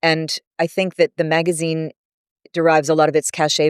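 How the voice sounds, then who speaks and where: The speaker talks at a fairly quick pace with an American accent. The recording is very clean with a silent background, and the sound is dry and close with no echo. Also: woman. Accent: American with British-leaning diction. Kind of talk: crisp diction.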